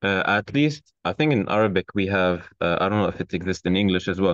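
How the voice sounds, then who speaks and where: In a Turkish accent, a man talks at a fairly low pitch. The sound is dry with no echo, and the background is quiet. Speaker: architecture graduate student. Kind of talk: casual chat. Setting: video call. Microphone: video call.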